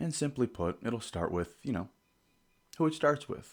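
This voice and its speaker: Heard over a very clean recording with a silent background, a man speaks with lively intonation. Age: 30s. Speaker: podcast host. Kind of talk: monologue.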